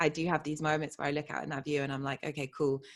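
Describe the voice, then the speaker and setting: In a very clean recording with a silent background, a woman with a British accent speaks at a very deep, low pitch. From England, Bristol area. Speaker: identity coach. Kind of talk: interview.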